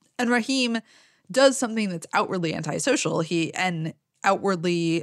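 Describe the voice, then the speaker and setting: A woman's ordinary speaking voice in a medium pitch, with lively intonation, a moderate pace and a dry, close sound with no echo. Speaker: critic and podcast co-host. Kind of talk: casual chat.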